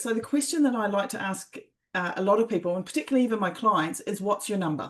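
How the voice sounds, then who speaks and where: With a New Zealand accent, a woman talks very fast and with lively intonation. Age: 50s. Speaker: life coach and former athlete. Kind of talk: interview. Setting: podcast. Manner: animated.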